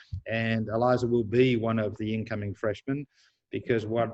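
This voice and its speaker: This man speaks with an Australian accent. His intonation is monotone and flat. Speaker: university president. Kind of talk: panel talk to incoming students.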